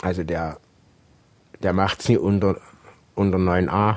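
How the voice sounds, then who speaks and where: A man with a very deep, low voice talks at a fairly slow pace in a monotone, flat delivery. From Saxony, Germany (Saxon Switzerland). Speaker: rock climber and climbing instructor. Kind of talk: interview. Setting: at his home.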